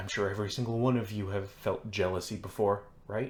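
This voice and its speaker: In a booming, put-on character voice, a man talks at a fairly quick pace with a fairly low pitch and monotone, flat intonation. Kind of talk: sermon preaching. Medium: read story. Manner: inviting yet demanding.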